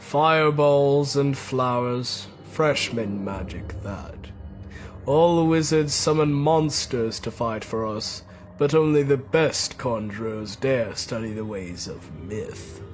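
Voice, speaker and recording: A man's put-on character voice, medium in pitch and fairly slow, over clear background noise. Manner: haughty, scornful.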